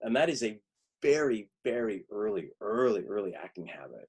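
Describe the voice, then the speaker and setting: A man's voice at a medium pitch. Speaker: acting teacher. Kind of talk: lecture. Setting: video call. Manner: mumbles in casual life; animated.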